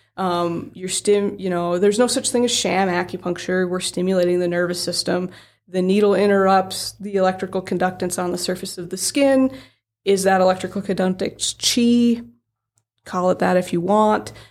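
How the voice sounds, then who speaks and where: A woman speaks at a moderate pace and medium pitch with fairly even intonation in a very clean recording with a silent background. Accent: Upper Midwest. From South Dakota, around Aberdeen. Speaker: acupuncturist. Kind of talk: casual interview.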